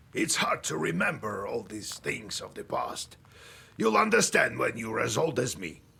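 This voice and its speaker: Here a man uses a put-on character voice. He talks at a moderate pace. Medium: video game. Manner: gruff, matter-of-fact.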